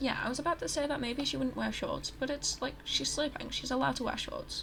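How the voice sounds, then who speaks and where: A woman speaks quietly against noticeable background noise. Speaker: gaming YouTuber. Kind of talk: casual gameplay commentary. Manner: quiet, hushed; halting, many fillers. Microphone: poor audio.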